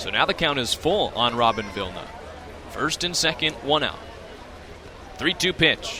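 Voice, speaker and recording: Amid noticeable background noise, a man speaks at a fairly slow pace with very wide pitch swings. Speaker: sports broadcaster. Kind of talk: baseball radio play-by-play.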